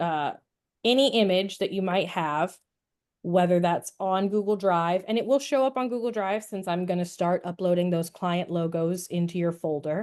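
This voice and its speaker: A woman talks in a plain, everyday voice at a medium pitch and moderate pace, with ordinary pitch variation against a quiet background. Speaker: workshop trainer, drive admin. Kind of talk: tutorial.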